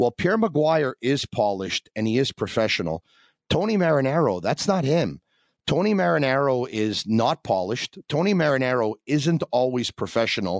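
A man talks at a medium pitch with very wide pitch swings and very even loudness. The recording is very clean with a silent background and a dry, close sound with no echo. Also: moderate pace. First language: not English. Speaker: radio host. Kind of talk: casual interview storytelling.

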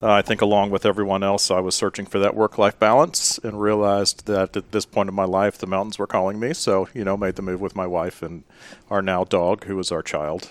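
A man with a normal speaking voice talks at a fairly quick pace in a fairly low pitch with fairly even intonation, in a very clean recording with a silent background and a dry, close sound with no echo. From US South, Memphis, Tennessee. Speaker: nurse anesthetist. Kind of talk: podcast interview.

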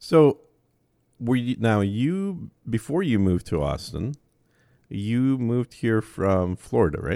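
In a dark, mellow tone, a man with a Minnesota accent speaks at a very slow pace and medium pitch, his voice making very wide pitch swings over a dry, close sound with no echo and a very clean recording with a silent background. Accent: Minnesota Midwestern. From Minnesota, Twin Cities suburbs. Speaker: podcast host. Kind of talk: casual interview chat.

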